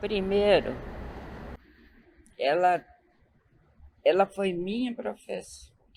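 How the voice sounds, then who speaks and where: Long pauses come often as the words unfold at a very slow pace. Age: 80s+. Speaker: retired teacher interviewed for school documentary. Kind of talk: interview testimony. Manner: halting.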